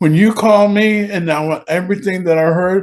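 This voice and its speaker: A high male voice with ordinary pitch variation. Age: 70s. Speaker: singer and songwriter. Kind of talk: interview. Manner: halting, repetitive.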